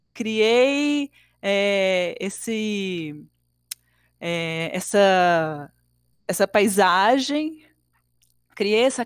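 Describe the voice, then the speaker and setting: A woman speaks at a very slow pace with lively intonation and a fairly high pitch. Long, frequent pauses fall on a very clean recording with a silent background. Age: 30s. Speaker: circus artist and dance educator. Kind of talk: interview.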